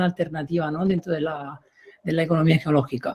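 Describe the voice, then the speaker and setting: The speaker is a man. He talks with an Italian accent. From Italy. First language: Italian (speaking Spanish). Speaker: professor. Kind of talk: panel debate. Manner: halting.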